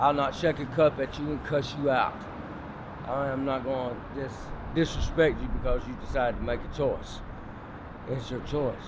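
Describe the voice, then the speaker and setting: Over noticeable background noise, a man with a Southern US accent speaks at a medium pitch and a moderate pace, leaving long, frequent pauses. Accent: Southern US (Georgia). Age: 50s. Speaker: homeless man, former prisoner. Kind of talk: documentary interview answer.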